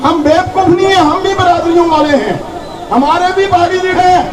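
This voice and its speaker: Amid noticeable background noise and audible room echo, a man speaks at an extremely high pitch with fairly even intonation. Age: 50s. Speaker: local supporter at a political rally. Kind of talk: campaign speech.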